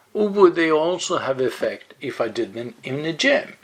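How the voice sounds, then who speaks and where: A man at a fairly quick pace. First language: Swedish. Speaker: yoga blogger. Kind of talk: explainer monologue. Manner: halting, with fillers.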